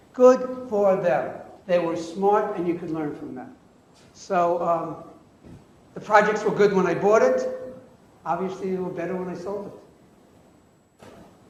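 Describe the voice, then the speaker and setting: Over noticeable background noise and audible room echo, a man with a high pitch and ordinary pitch variation speaks at a fairly slow pace, with long, frequent pauses and big swings in loudness. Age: 70s. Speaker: real estate investor. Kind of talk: lecture. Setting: classroom with audience. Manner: animated.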